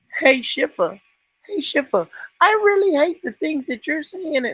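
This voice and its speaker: A put-on character voice comes through high and squeaky with a whiny tone. It moves at a moderate pace. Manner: mocking, whiny.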